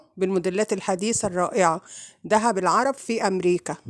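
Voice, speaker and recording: A woman's medium-pitched voice in an Egyptian accent, dry and close with no echo. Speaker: vlogger. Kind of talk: vlog intro.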